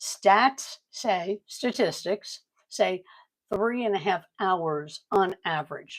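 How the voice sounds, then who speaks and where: In a dry, close sound with no echo, a woman at a medium pitch speaks at a very slow pace with ordinary pitch variation. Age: 70s. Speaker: online business coach. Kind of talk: livestream sales pitch. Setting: livestream. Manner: casual, rambling with fillers.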